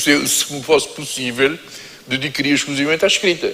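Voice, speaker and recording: There is noticeable background noise as a man talks at a fairly high pitch. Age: 70s. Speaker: writer and lawyer. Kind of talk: panel discussion.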